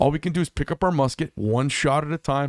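A man speaks at a very fast pace. His intonation stays fairly even, and the sound is dry with no echo. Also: quiet background. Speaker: podcast host. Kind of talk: podcast monologue commentary. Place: studio. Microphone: studio mic.

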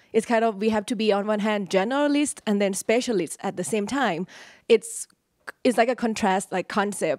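With a Thai accent, a woman speaks at a fairly high pitch and a moderate pace, with ordinary pitch variation. The sound is dry with no echo against a quiet background. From Thailand. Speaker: graduate student. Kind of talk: audience question. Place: hall.

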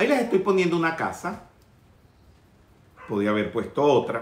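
A man with a fairly high pitch, big pitch swings and a moderate pace

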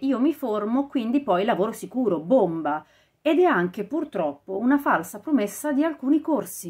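With a somewhat breathy sound and lively intonation, a woman speaks at a moderate pace against a quiet background. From Italy. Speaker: audiobook narrator and vocal coach. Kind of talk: casual talk to camera, podcast commentary. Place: home room. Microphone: lapel.

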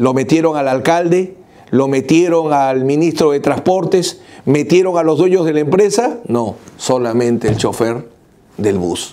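Fairly high in pitch, a man talks rather slowly with lively intonation. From Peru. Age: 50s. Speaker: lawyer. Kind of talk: video commentary. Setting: office. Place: office. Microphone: lapel.

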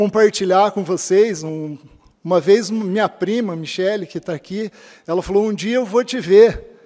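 Over a quiet background, a dark, mellow tone moves at a fairly slow pace, with ordinary pitch variation and big swings in loudness. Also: man, high pitch for a man. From Cascavel, Paraná, southern Brazil; Paraná. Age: 40s. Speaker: public administrator, honoree. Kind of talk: acceptance speech. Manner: halting, with fillers. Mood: grateful, earnest. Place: hall. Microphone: podium.

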